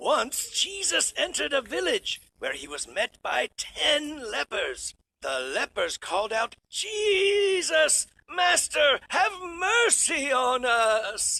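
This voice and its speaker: A man speaks at a very slow pace in a cartoonish character voice with an extremely high pitch. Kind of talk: Bible storytelling.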